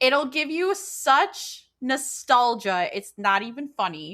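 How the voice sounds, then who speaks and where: On a very clean recording with a silent background, a woman sounds animated, her bright, sharp tone swinging very widely in pitch. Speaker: podcast co-host. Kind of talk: casual chat.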